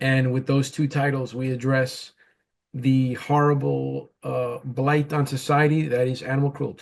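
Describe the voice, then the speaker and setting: Monotone, flat delivery at a fairly slow pace in a New York accent. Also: man, medium pitch for a man. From New York, the Bronx. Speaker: comic book writer and publisher, former boxer. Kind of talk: interview. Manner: hesitant, many fillers.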